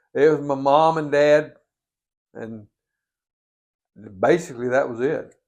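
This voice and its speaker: Speaking with a North Carolina accent at a fairly slow pace, a man with a fairly high pitch keeps a fairly even intonation, with big swings in loudness and long, frequent pauses. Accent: Southern US (North Carolina). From Catawba County, North Carolina. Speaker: Vietnam War veteran. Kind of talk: oral history interview answer.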